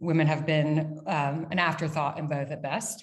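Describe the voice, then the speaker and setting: Here is a woman with an American accent and a plain, everyday voice. Her pitch is fairly low and her pace moderate. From United States. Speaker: brand founder and CEO. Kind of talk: casual interview. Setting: video call from dining room. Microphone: echoey sound.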